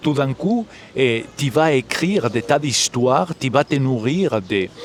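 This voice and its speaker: A man with a Galician accent at a very slow pace, his intonation lively and loudness very even, amid noticeable background noise. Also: medium pitch for a man. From Galicia, Spain. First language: Galician (speaking French). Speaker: musician and composer. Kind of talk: interview. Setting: live at a festival.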